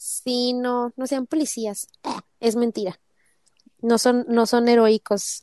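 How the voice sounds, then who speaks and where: A woman with a Mexican accent talks at a very slow pace with long, frequent pauses, her high, dark and mellow voice fairly even in intonation and recorded dry and close with no echo. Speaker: podcast co-host. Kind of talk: casual chat.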